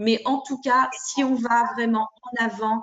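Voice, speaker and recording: A woman speaks at a fairly high pitch with fairly even intonation. Hers is an unremarkable speaking voice. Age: 60s. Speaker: parent caregiver of daughter with MS. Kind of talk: testimony in group discussion.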